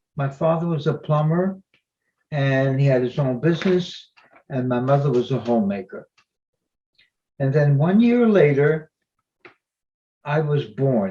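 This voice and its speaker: Lively in intonation yet fairly slow, a man with a fairly high pitch and a dark, mellow tone speaks somewhat breathily, with long, frequent pauses. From Belgium (Antwerp). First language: not English. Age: 90s. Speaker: Holocaust survivor speaker. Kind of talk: presentation with slides.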